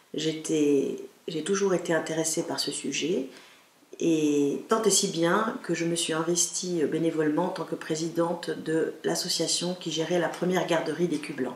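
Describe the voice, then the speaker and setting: Speaking fairly slowly with fairly even intonation, a woman with a fairly low pitch is heard amid noticeable background noise and audible room echo. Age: 50s. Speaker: local politician. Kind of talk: campaign statement. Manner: formal.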